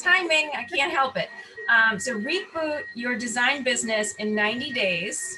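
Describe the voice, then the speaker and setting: A woman with an American accent speaks in a raised, projected voice, high-pitched and fairly slow, her pitch swinging very widely over background music and audible room echo. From New York. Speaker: interviewer for a designers' network. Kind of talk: interview.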